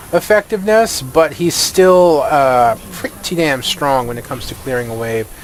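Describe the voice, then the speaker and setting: A man's lively intonation carries at a moderate pace while noticeable background noise runs underneath. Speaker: gaming YouTuber. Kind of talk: gameplay commentary. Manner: stuttering today; casual, filler-heavy.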